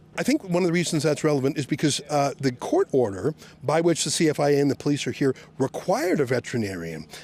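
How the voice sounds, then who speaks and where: Talking at a very fast pace, a man uses a fairly high voice with vocal fry and an animated tone. His loudness stays very even. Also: ordinary pitch variation. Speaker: reporter. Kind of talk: on-location reporting, confronting police. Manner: loud, projecting; sarcastic, animated.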